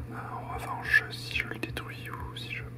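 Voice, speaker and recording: A man talks at a very slow pace. Noticeable background noise sits behind him. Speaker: ASMR and gaming video creator. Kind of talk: casual gameplay commentary to camera. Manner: calm, soft-spoken.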